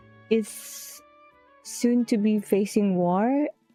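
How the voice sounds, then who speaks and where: The woman talks very slowly. Behind her, music is playing. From Philippines. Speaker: streamer. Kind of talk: casual live-stream talk while gaming.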